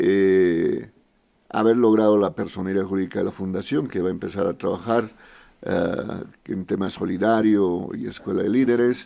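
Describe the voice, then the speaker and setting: Dark, mellow tone at a moderate pace, ordinary pitch variation, on a very clean recording with a silent background. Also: man, fairly low pitch for a man. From Bolivia, Potosí. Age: 40s. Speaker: foundation director and politician. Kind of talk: casual interview. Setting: radio studio.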